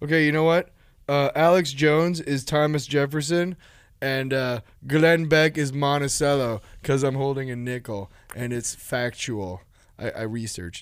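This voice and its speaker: A man with an ordinary speaking voice talks at a moderate pace with ordinary pitch variation. His loudness swings a lot, and the recording is very clean with a silent background. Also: fairly high pitch for a man. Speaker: podcast host. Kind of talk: casual chat, joking. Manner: joking, interrupts often.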